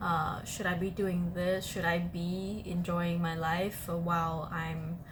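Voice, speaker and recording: Audible room echo surrounds a woman speaking very slowly at a fairly low pitch. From Vietnam. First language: Vietnamese. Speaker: podcast host. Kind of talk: casual chat. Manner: hesitant, many fillers.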